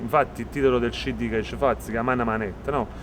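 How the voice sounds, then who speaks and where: A man is talking here. Clear background noise can be heard throughout. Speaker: rapper. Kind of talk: interview. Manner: halting.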